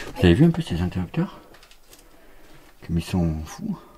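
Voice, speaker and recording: Over noticeable background noise, a man talks in a very deep, low pitch. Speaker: urbex youtuber. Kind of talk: walkthrough vlog narration. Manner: soft-spoken.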